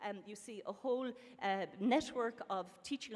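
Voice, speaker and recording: A woman speaks in an Irish accent at a fairly high pitch. Her intonation stays fairly even. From Ireland. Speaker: professor, panel speaker. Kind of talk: conference panel talk. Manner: fast.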